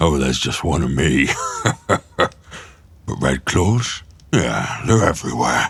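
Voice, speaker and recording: In a put-on character voice, a man speaks fairly slowly. His voice is raspy and very deep and low in pitch. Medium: actual play. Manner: blunt, hearty, boastful.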